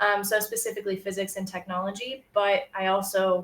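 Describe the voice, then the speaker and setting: With an American accent, a woman uses a plain, everyday voice at a medium pitch and fairly even intonation. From United States. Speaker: science writer. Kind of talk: presentation. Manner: frequent filler ums.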